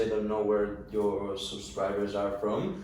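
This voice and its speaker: A man with a Spanish accent talks at a fairly slow pace. His voice carries audible room echo along with noticeable background noise. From Spain. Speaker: interview guest. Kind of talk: interview. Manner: halting.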